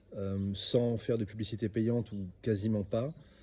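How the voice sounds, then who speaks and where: With fairly even intonation, a man speaks in a dark, mellow tone. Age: 30s. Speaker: e-commerce entrepreneur and coach. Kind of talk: self-introduction monologue. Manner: hesitant, many fillers and repetitions.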